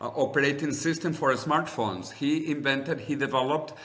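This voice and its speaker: A man with a Spanish accent is heard against audible room echo. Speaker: longevity advocate and author. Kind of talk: interview conversation. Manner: animated.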